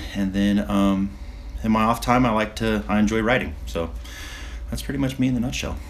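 Amid noticeable background noise and audible room echo, the speech moves at a fairly quick pace. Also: man. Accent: American. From San Diego, California. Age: 40s. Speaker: sailboat captain and Navy veteran. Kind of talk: casual chat.

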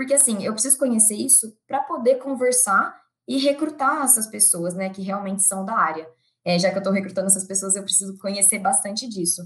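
Her voice somewhat breathy, a woman speaks at a medium pitch and a fairly quick pace with lively intonation. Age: 20s. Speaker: employer branding analyst. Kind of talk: interview.

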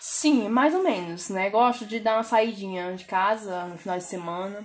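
Ordinary pitch variation runs through a woman's speech, delivered in an unremarkable speaking voice. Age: 20s. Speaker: social worker. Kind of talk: interview.

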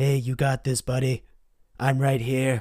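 This man puts on a character voice at a medium pitch, keeping a monotone, flat intonation and a moderate pace. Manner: soft, reassuring.

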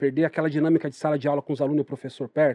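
The sound is dry and close with no echo, over a quiet background. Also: man. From Greater São Paulo (Poá, east side periphery). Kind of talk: interview conversation.

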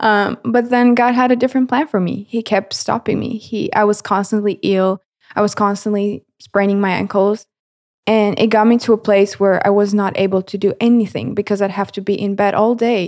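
In a Romanian accent, a woman is speaking. Her intonation stays fairly even. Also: medium pitch for a woman, moderate pace. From Romania, Galați. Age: 20s. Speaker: videographer intern, university student. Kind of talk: casual interview, personal testimony.

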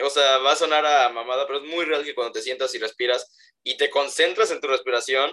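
The tone is bright and sharp, the pace fairly quick, and the intonation fairly even. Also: man. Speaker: podcast co-host. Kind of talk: casual chat. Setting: remote recording.

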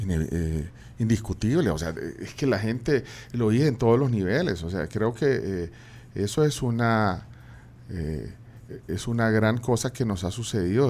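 A man speaks with a fairly low pitch and lively intonation. His pace is fairly slow. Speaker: radio host. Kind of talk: interview. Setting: studio. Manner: halting.

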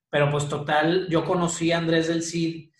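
A man's fairly high voice at a moderate pace, with audible room echo. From Mexico, Monterrey. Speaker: rock band singer. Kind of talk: casual interview. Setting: video call.

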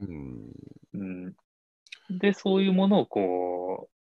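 A man's voice, fairly low in pitch, with very wide pitch swings. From Japan, Shizuoka. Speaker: ikebana artist. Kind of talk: interview. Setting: online call.

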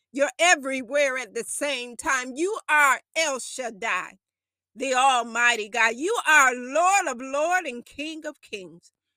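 In a raised, projected voice, a woman with a high pitch speaks at a very slow pace, her tone bright, sharp, intense and solemn, with ordinary pitch variation. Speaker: prayer podcast host. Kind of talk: fervent intercessory prayer, addressed to God, with a worshipful, pleading tone; sermon-like podcast talk mixed with scripture reading. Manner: intense, impassioned and urgent, with a solemn, commanding delivery.

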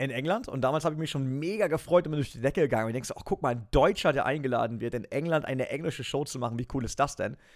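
Talking at a very fast pace with hardly any pauses, a man uses a fairly high pitch and ordinary pitch variation. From western Germany near the Dutch border. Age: 30s. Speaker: esports presenter and racing team owner. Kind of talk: interview.

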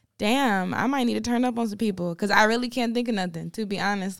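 In an American accent, a woman with a normal speaking voice talks at a fairly quick pace and medium pitch, with ordinary pitch variation on a very clean recording with a silent background. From Farmville, North Carolina. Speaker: R&B singer. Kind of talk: casual chat. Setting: studio.

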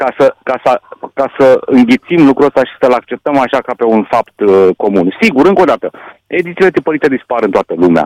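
The speaker has a Hungarian accent and a moderate pace, with very wide pitch swings. The sound is dry and close, with no echo. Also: man. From Romania, Satu Mare county (Hungarian community). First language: Hungarian (speaking Romanian). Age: 60s. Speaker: sports journalist. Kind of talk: radio interview.

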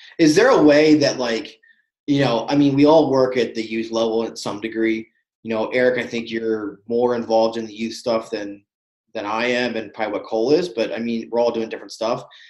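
A man with a plain, everyday voice talks fairly quickly at a medium pitch, his intonation fairly even. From Pennsylvania, Lancaster area. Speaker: podcast co-host, goalkeeper coach. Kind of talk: casual chat.

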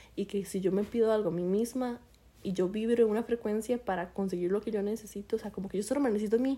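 A woman with a fairly high pitch and a dark, mellow tone speaks with ordinary pitch variation. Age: 20s. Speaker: podcast co-host. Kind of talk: casual chat.

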